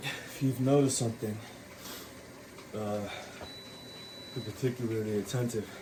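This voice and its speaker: Long, frequent pauses break up monotone, flat speech at a moderate pace, with noticeable background noise and audible room echo. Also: man, medium pitch for a man. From Puerto Rican heritage. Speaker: fitness vlogger. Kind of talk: casual workout vlog.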